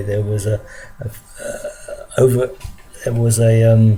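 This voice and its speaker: Over background music, a man with a London accent speaks at a medium pitch in a monotone, flat delivery. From London, England. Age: 60s. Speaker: vlogger recounting childhood memories. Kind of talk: personal testimony monologue. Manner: halting, many fillers and repetitions.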